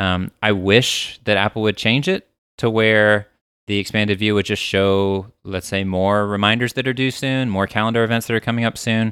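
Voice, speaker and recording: With a dry, close sound, no echo, and a very clean recording over a silent background, a man speaks at a moderate pace in a fairly low, monotone voice with flat intonation. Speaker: podcast co-host. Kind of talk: casual banter podcast chat. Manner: playful, teasing.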